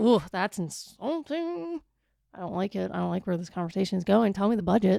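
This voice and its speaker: Recorded very cleanly against a silent background, a woman with a Wisconsin accent speaks at a fairly quick pace with a medium pitch and lively intonation. Her tone is dark and mellow, and the sound is dry and close with no echo. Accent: regional Wisconsin accent, 'wooder' for water. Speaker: podcast co-host. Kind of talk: casual chat. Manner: animated.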